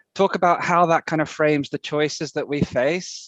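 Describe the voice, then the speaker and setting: The man speaking has an English accent and a fairly high pitch with fairly even intonation. The sound is dry and close, without echo. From UK. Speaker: conference speaker. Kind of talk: conference presentation. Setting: video call.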